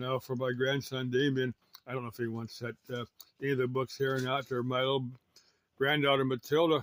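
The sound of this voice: The speaker has an American accent and a fairly bright tone. The pace is fairly quick, with little pitch movement. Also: man, medium pitch for a man.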